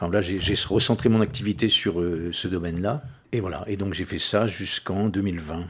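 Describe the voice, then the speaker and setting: His pitch is very deep and low. The man talks at a moderate pace with fairly even intonation. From western France, Oléron island. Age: 60s. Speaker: record collector and musician. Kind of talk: casual interview. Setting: recorded in his home. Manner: hesitant, many fillers.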